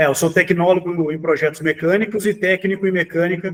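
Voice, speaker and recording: Talking at a fairly quick pace, a man with a high pitch keeps a monotone, flat intonation. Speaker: engineering assistant, inspection specialist. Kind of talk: webinar panel discussion. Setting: online webinar.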